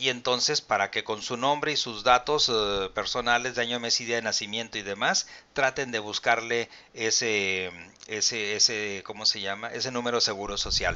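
Speaking at a moderate pace with a Mexican accent, a man keeps his intonation fairly even. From Mexico. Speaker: pension advisor and channel host. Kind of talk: live-stream Q&A and explainer. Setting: live video stream. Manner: formal. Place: home room.

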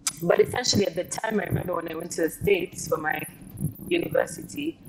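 A woman at a fairly quick pace with ordinary pitch variation, over noticeable background noise. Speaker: guest. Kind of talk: interview answer. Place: car. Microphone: lapel.

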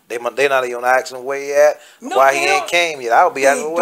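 Noticeable background noise accompanies the speech of a man. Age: 80s+. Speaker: former Nation of Islam minister. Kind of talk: interview answer. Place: home room. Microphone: phone near.

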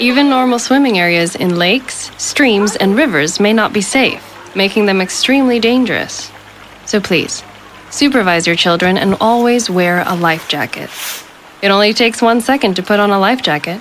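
With noticeable background noise behind it, the voice keeps a very even loudness, a moderate pace and ordinary pitch variation. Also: woman, medium pitch for a woman. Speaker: voice actor. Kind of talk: public service announcement. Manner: smart, millennial.

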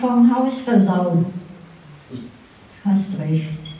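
A woman speaks at a very slow pace with audible room echo. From Saarland, Germany. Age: 90s. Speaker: author. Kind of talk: reading aloud. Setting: stage with audience. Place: hall. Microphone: handheld.

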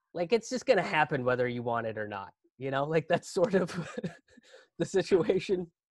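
A man with an American accent speaks at a fairly high pitch, his voice swinging very widely up and down, recorded dry with no echo against a quiet background. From Indian American, Pittsburgh. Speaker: stand-up comedian. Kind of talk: live virtual storytelling, stand-up comedy. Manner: conversational, humorous, digressive. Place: home room. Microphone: webcam.

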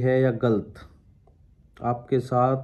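The man's voice has a dark, mellow tone. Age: 20s. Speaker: vlogger. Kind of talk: casual Q&A vlog. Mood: sad, reflective. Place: home room. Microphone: phone near.

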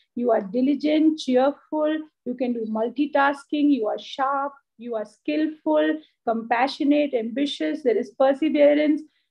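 Against a quiet background, a woman with an Indian accent and a high-pitched voice speaks at a fairly slow pace with fairly even intonation. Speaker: school principal. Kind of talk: ceremonial address. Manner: warm, encouraging. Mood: warm, encouraging. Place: office. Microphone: video call.

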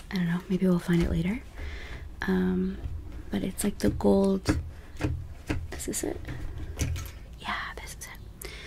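A soft-spoken woman at a fairly slow pace, with long, frequent pauses, big swings in loudness and noticeable background noise. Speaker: beauty content creator. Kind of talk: casual vlog chat. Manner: soft-spoken, quiet close-mic voice. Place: home room. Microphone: studio mic.

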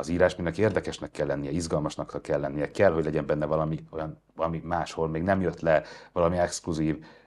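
A very deep, low man's voice, very fast and monotone, flat in intonation, against a quiet background. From Hungary. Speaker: journalist, interviewer. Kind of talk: interview conversation. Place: studio.

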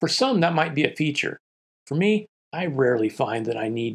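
Against a quiet background, a man talks at a fairly quick pace with vocal fry and very wide pitch swings. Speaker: ham radio hobbyist reviewer. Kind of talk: product review talk to camera. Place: studio.

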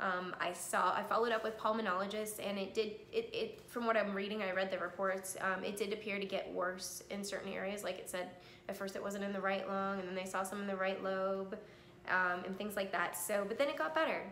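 Against light background noise and audible room echo, the speaker talks at a fairly quick pace with fairly even intonation. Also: woman, medium pitch for a woman. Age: 30s. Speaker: cancer survivor sharing her story. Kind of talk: personal testimony vlog. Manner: hesitant, many filler ums. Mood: calm, reflective, earnest. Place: home room. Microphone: phone near.

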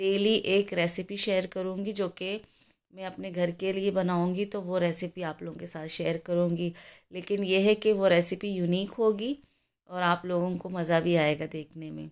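The voice is monotone and flat but swings a lot in loudness, moving at a fairly slow pace on a very clean recording with a silent background. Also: woman, medium pitch for a woman. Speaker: cooking vlogger. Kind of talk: cooking tutorial. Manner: chatty.

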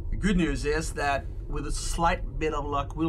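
Against loud background noise, a man does a gruff, put-on character voice at a moderate pace. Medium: audio drama. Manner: gruff, blunt, tired.

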